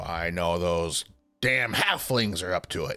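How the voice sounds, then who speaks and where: A man's put-on character voice, very deep and low, rumbling and raspy, with ordinary pitch variation at a fairly slow pace over faint background music. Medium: actual play. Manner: grumpy, grumbling.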